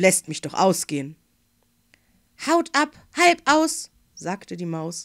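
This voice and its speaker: At a fairly slow pace, a woman speaks in a gentle, playful tone with very wide pitch swings. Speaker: fairy tale reader. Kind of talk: bedtime story reading aloud. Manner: gentle, unhurried storyteller voice with playful character voices.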